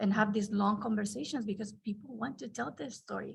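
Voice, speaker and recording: At a fairly quick pace, a woman talks with a fairly high pitch and vocal fry. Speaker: archivist, conference panelist. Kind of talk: roundtable panel discussion. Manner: halting, many restarts.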